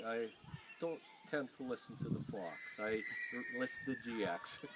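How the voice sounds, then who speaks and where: A man with a Canadian Prairie accent talks at a moderate pace over noticeable background noise. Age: 60s. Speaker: farmer. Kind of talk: interview.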